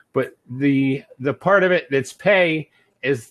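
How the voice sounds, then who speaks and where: On a very clean recording with a silent background, a man with an American accent uses an unremarkable speaking voice, a fairly high pitch and ordinary pitch variation. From California, US. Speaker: online English tutor. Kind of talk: tutoring session.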